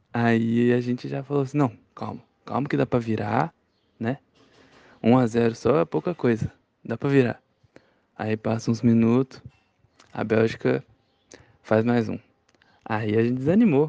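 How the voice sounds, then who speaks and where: A man with a dark, mellow tone and medium pitch talks at a fairly slow pace with long, frequent pauses and ordinary pitch variation, in a dry, close sound with no echo. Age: 20s. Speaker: interviewee sharing a memory. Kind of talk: personal storytelling.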